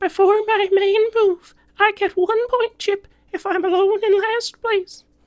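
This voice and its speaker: In a squeaky, cartoonish character voice with extremely high pitch, a man speaks at a fairly slow pace in a flat monotone. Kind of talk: cartoon voice acting. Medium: solo performance.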